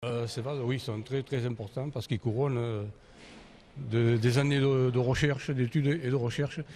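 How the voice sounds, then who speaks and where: Here a man's voice has a dark, mellow tone. Its medium pitch moves with fairly even intonation. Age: 70s. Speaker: inventor and engineer. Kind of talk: interview. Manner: halting.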